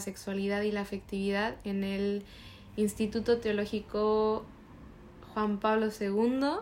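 A woman speaks very slowly at a medium pitch, her intonation monotone and flat. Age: 20s. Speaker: podcast co-host. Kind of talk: casual chat.

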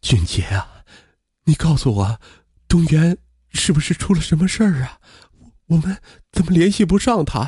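A man puts on a shaky, anxious character voice, fairly high in pitch with very wide pitch swings, at a moderate pace with long, frequent pauses, in a dry, close sound with no echo. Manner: anxious, worried.

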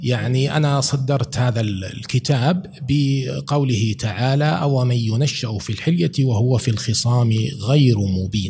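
Over noticeable background noise, a man speaks at a very slow pace with hardly any pauses, very even loudness, medium pitch and ordinary pitch variation. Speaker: professor and author. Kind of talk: podcast interview.

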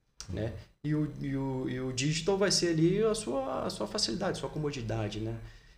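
Audible room echo surrounds a man speaking at a fairly quick pace. His fairly high pitch moves in very wide swings. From Brazil, Resende, Rio de Janeiro state. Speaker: fitness footwear company founder. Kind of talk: casual interview. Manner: hesitant, many repetitions.

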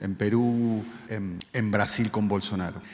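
A man with a Rioplatense accent speaks at a medium pitch in a flat, monotone delivery. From Argentina. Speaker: radio and TV journalist. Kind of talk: press conference question.

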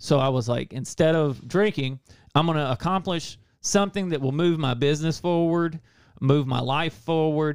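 A man with a normal speaking voice, a fairly high pitch, ordinary pitch variation and a moderate pace. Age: 40s. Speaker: recovery and habits coach with a website. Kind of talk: casual chat.

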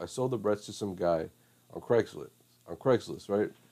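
Dark, mellow tone in a man's voice of medium pitch. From Mexico. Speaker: college student podcaster. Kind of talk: casual banter. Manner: joking.

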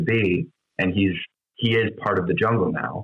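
A man speaks in a normal speaking voice with an American accent. His pace is moderate. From Wisconsin, US Midwest. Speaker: actor. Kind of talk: casual chat.

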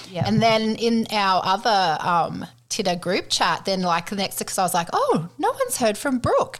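A woman with an Australian accent at a medium pitch and moderate pace, amid noticeable background noise. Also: ordinary pitch variation. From Queensland, Australia. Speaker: podcast co-host. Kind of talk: casual chat.

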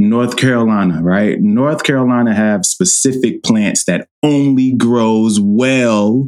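Delivered fairly slowly at a very even loudness, this is a plain, everyday voice with ordinary pitch variation. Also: man. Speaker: podcast host. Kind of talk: casual chat.

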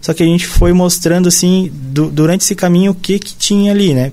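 The speaker has a southern Brazilian accent and a dark, mellow tone. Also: man. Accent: southern Brazilian, sing-song. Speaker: biologist. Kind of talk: casual chat.

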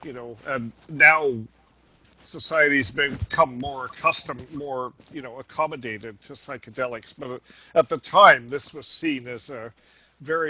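A man with an American accent speaks at a fairly high pitch in a bright, sharp tone. His pace is fairly slow and his intonation fairly even. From United States. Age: 70s. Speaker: ethnopharmacologist. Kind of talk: interview conversation.

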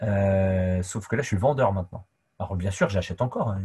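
Against a quiet background, a man speaks in a fairly low pitch with a dark, mellow tone and a somewhat breathy voice. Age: 40s. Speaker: sports coach. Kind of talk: casual interview. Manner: talkative.

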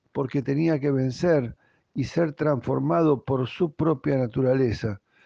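Speech comes at a very slow pace, with an Argentine accent. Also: man. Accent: Argentine Spanish (voseo). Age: 60s. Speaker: pastor. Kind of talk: devotional talk.

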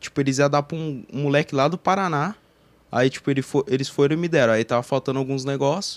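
A man speaks in a normal speaking voice at a fairly high pitch. The sound is dry and close, with no echo. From Campinas, São Paulo state, Brazil. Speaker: online game roleplayer. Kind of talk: casual chat.

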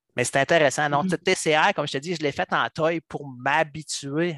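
A normal speaking voice at a moderate pace, with ordinary pitch variation. The sound is dry and close with no echo, over a quiet background. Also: man. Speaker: software coach. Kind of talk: casual chat.

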